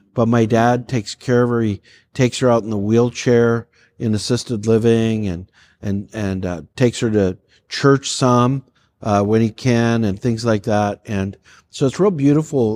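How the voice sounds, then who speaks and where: A man with a Canadian accent uses a normal speaking voice at a medium pitch, moderate pace and fairly even intonation. The sound is dry and close with no echo, in a very clean recording with a silent background. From Canada, Calgary, Alberta. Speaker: pastor. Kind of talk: casual chat.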